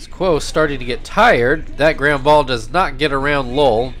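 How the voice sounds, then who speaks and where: This man has an ordinary speaking voice, fairly high in pitch, moving at a moderate pace with ordinary pitch variation. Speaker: baseball video game commentator. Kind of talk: live-style baseball play-by-play commentary over a video game. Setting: home recording, narrating gameplay. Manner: casual, upbeat, conversational.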